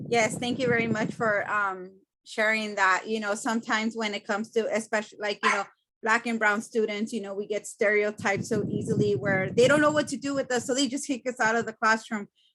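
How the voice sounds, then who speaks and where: In a Spanish accent, a woman speaks at a fairly quick pace. Her pitch is fairly high. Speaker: student panelist. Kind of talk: panel discussion.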